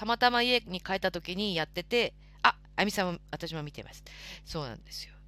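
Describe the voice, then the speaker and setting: At a fairly quick pace, the voice shows lively intonation, a bright, sharp tone, vocal fry, and big swings in loudness. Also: woman, medium pitch for a woman. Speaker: live stream host. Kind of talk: casual chat. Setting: live audio stream. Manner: polite.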